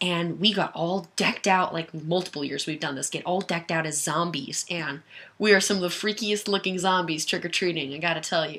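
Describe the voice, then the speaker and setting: A woman's fairly low pitch with a bright, sharp tone. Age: 20s. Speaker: firearms enthusiast video creator. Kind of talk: casual livestream Q&A. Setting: webcam livestream. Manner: animated.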